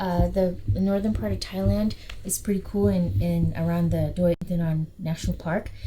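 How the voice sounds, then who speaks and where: Noticeable background noise runs throughout. A woman talks at a moderate pace. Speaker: travel vlogger. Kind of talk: casual vlog tour.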